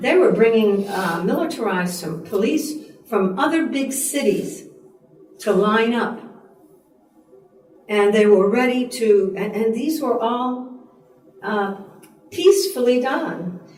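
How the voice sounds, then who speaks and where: A woman's fairly high voice at a very slow pace, with very wide pitch swings, long, frequent pauses, noticeable background noise and audible room echo. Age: 70s. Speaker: peace activist. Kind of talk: group discussion. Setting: room with group.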